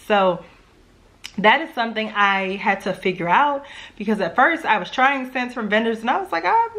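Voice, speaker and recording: A woman talks at a fairly quick pace with a Louisiana accent. Her fairly high voice is bright and sharp, with lively intonation. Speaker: home fragrance YouTuber. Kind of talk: casual vlog talk. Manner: chatty, conversational.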